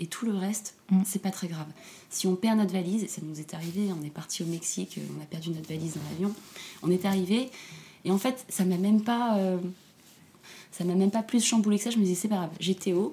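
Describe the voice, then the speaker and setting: A woman of medium pitch talks at a moderate pace with ordinary pitch variation and long, frequent pauses. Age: 30s. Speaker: single mother. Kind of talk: interview testimony. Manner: halting, many repetitions.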